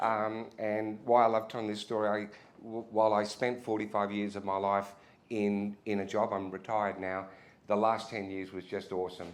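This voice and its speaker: In an Australian accent, a man speaks at fairly low pitch and a moderate pace. His intonation is monotone and flat. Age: 60s. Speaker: retired retail executive, keynote speaker. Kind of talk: keynote speech. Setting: pub venue with audience. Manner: casual, halting with many restarts.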